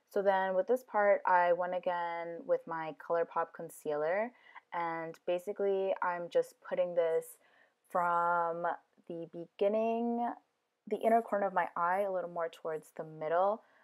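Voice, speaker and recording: A woman speaks in an unremarkable speaking voice at fairly low pitch. Her pace is fairly slow and her intonation fairly even. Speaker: beauty vlogger. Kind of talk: voice-over makeup tutorial. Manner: casual, filler-heavy.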